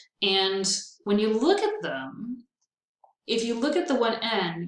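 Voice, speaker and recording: A woman's somewhat breathy voice with audible room echo. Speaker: veterinary technology instructor. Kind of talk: recorded lecture. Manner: casual, upbeat.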